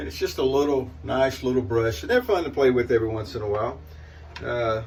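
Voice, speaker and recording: Speaking at a fairly quick pace in a Southern US accent, a man with a medium-pitched, somewhat breathy voice uses lively intonation amid audible room echo. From US South. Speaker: shaving video creator. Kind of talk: casual product demo monologue. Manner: rambling, hesitant with fillers.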